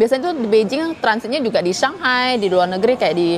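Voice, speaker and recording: Noticeable background noise sits behind the recording. Over it, a woman talks with lively intonation. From Kalimantan, Indonesia (Hakka community). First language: Hakka (speaking Indonesian). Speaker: live streamer. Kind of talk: live stream chat. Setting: airport.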